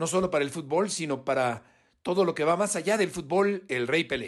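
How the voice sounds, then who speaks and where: Speaking at a high pitch with ordinary pitch variation, a man keeps a moderate pace. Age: 50s. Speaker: sports journalist. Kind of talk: recorded testimony.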